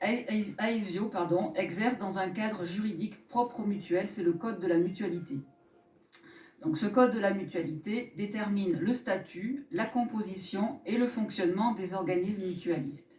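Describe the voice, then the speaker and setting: A woman speaks at a moderate pace and a medium pitch, with ordinary pitch variation and noticeable background noise. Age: 50s. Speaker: association director and mutual insurance delegate. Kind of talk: mock trial testimony. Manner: formal.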